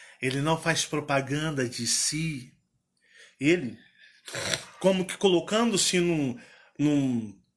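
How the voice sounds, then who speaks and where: With a Minas Gerais accent, a man speaks at a very slow pace in a bright, sharp tone. His voice sits fairly high and his intonation is lively. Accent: Minas Gerais regional Brazilian Portuguese. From Minas Gerais, Brazil.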